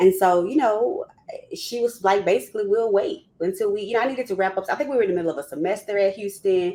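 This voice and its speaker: With a Southern US accent and an animated tone, this speaker talks at a very fast pace with ordinary pitch variation over noticeable background noise. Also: woman, medium pitch for a woman. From US South, Louisiana. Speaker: psychologist and former university counseling clinician. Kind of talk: panel discussion, personal testimony. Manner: animated, conversational.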